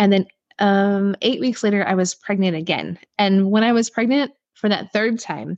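Over a quiet background, a woman talks at a moderate pace in an ordinary speaking voice of medium pitch, the sound dry and close with no echo. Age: 40s. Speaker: holistic chiropractor and hypnotherapist. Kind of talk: casual interview conversation.

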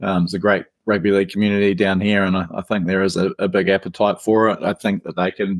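In a dry, close sound with no echo, a man with a New Zealand accent speaks fairly quickly at a fairly low pitch. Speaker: rugby league podcaster and writer. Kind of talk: casual chat.

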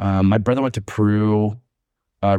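A man's fairly low voice, dark and mellow in tone, flat and monotone, over a quiet background. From Southern California, Long Beach. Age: 30s. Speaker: podcast guest. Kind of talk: casual chat.

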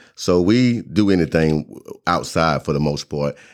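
With a Southern US accent, a man speaks at a fairly slow pace in a very deep, low voice. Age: 40s. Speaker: entrepreneur, formerly incarcerated. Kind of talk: testimony.

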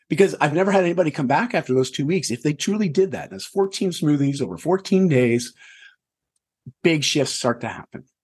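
Lively intonation marks this man's fairly high voice. He talks at a fairly quick pace. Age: 40s. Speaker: health and lifestyle coach. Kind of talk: casual interview chat. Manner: animated.

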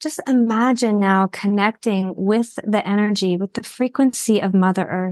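An unremarkable speaking voice from a woman at medium pitch, ordinary pitch variation, moderate pace and hardly any pauses, in a dry, close sound with no echo. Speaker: intuitive healer.

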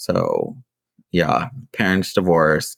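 A man speaks at a very slow pace. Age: 20s. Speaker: podcast host. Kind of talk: casual interview chat; scripted announcement.

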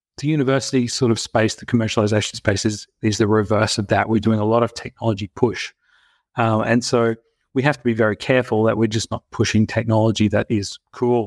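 In an Australian accent, a man talks at a fairly quick pace with a medium pitch and monotone, flat intonation, on a very clean recording with a silent background and a dry, close sound with no echo. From Australia (Brisbane). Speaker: health tech company founder and CEO. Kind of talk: interview.

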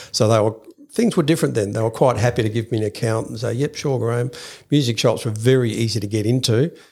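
A man with an Australian accent, medium-pitched and somewhat breathy, talking at a very fast clip with ordinary pitch variation. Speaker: music shop owner. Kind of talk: interview.

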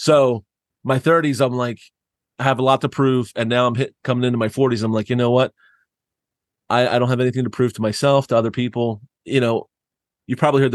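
A man at a medium pitch rushes along at a very fast pace yet takes long, frequent pauses, his intonation fairly even, in a dry, close sound with no echo over a quiet background. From US Northeast (southeast Pennsylvania). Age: 40s. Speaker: church planter. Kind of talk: casual interview conversation. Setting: remote call.

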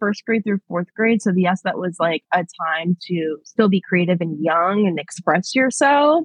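The woman speaks at a fairly slow pace. Her pitch swings very widely. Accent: American. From New York, Long Island. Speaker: public relations professional. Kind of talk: casual chat. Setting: long-distance call. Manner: calm, collected. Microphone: glitchy connection.

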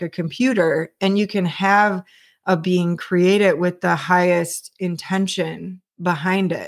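A woman talks at a fairly slow pace in a fairly low pitch. The recording is very clean, with a silent background. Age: 30s. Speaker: spiritual podcast host. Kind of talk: solo monologue podcast. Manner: halting, with frequent restarts and fillers.

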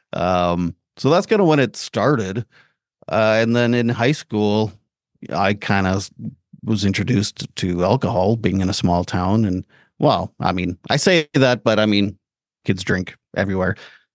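This man has a Canadian accent and a fairly low pitch, with ordinary pitch variation at a fairly slow pace. The sound is dry and close with no echo, over a quiet background. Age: 40s. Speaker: mental health advocate. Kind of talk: interview testimony. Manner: hesitant, many fillers.

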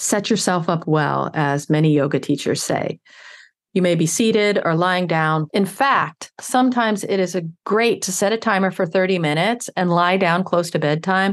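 A woman's unremarkable speaking voice, medium in pitch, with ordinary pitch variation and very even loudness over a quiet background. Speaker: wellness podcaster. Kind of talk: guided meditation. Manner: slow, calm, soothing pacing; gentle, nurturing tone.

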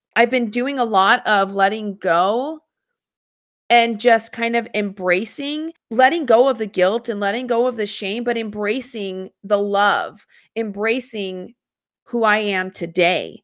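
A woman with a plain, everyday voice, fairly high in pitch with ordinary pitch variation, at a fairly slow pace, on a very clean recording with a silent background. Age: 30s. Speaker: podcast host and life coach. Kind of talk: solo monologue podcast.

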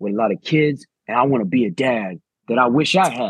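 A man with a Chicago accent at a moderate pace, dry and close with no echo, over a quiet background. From Chicago, US. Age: 40s. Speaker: coach and podcast co-host. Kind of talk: casual chat.

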